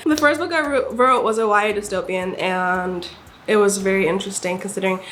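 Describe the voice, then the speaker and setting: A woman with an American accent, medium pitch and an animated tone at a fairly quick pace, with noticeable background noise and audible room echo. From Nigeria. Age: 20s. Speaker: aspiring author and vlogger. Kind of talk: casual chat.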